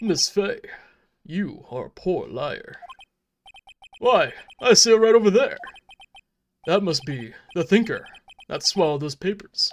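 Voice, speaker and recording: A man uses a high-pitched, put-on character voice at a moderate pace. Long, frequent pauses break up his speech. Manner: goofy, comedic.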